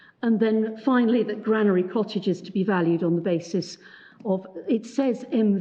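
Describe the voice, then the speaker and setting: A woman mumbles at a moderate pace. Her pitch variation is ordinary. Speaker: barrister. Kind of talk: court submission. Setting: courtroom. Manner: halting; mumbling. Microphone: muffled by face mask.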